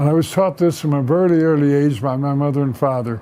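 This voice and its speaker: Over noticeable background noise, a man talks at a fairly quick pace with an American accent. His pitch is fairly high, with ordinary pitch variation. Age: 90s. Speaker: war veteran. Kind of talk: oral history interview. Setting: office. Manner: halting.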